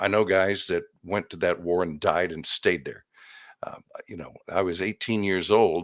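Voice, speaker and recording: An American accent comes through with fairly even intonation but big swings in loudness. The recording is very clean with a silent background. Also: man, very deep, low pitch for a man. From US West, Sacramento, California. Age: 70s. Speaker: radio veteran. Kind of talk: interview. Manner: hesitant, many fillers and repeats.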